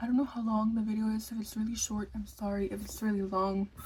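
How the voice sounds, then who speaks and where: A woman's whisper at a moderate pace. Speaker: lifestyle vlogger. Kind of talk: casual vlog. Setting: at home at night. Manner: whispering.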